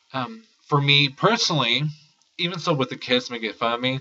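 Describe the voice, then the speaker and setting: Here a man talks at a moderate pace. His pitch is fairly high. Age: 20s. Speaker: college student vlogger. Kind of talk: personal testimony vlog. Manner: halting, with false starts.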